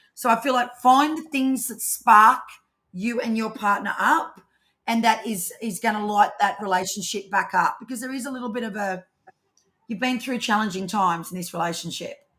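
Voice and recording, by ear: In a put-on character voice with an Australian accent, a woman speaks at a moderate pace, her pitch fairly high and raspy, with ordinary pitch variation.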